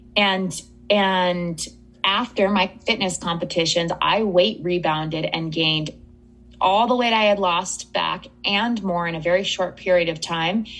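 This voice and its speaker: A woman speaks in a normal speaking voice at a medium pitch. Her pace is fairly slow and her intonation fairly even. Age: 30s. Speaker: eating psychology coach. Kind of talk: interview.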